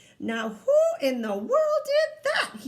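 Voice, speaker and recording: A woman's squeaky, put-on character voice. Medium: read story.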